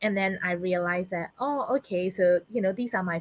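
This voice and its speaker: A woman with a Burmese accent speaks at a moderate pace and medium pitch with ordinary pitch variation, in a dry, close sound with no echo. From Myanmar. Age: 30s. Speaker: public servant and community leader. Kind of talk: interview.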